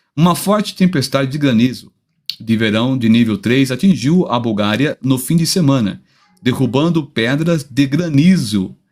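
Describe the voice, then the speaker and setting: Over music in the background, a man with a fairly high pitch talks at a fairly slow pace using lively intonation. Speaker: pastor. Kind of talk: reading aloud news on a live stream.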